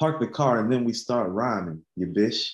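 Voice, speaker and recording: A man speaks at a moderate pace with medium pitch. It is an ordinary speaking voice. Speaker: podcast co-host. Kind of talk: casual music discussion.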